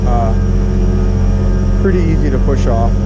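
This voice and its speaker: A moderate pace under loud background noise. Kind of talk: casual work vlog explanation. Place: open country. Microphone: phone near.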